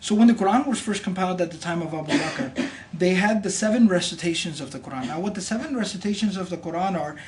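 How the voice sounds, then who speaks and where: Over noticeable background noise, a man with a high-pitched voice talks very fast with lively intonation. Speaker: imam. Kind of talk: religious explanation in conversation.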